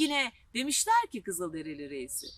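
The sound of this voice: A woman speaks at a medium pitch and a moderate pace. Her fairly bright tone rides very wide pitch swings.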